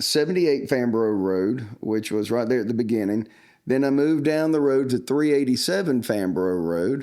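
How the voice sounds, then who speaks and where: A man with a Southern US accent, medium pitch, a dark, mellow tone, lively intonation and very even loudness, in a very clean recording with a silent background. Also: moderate pace. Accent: Southern US (Georgia). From US South, Georgia (Upson County). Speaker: church youth minister. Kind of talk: casual interview chat. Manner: frequent fillers (uh).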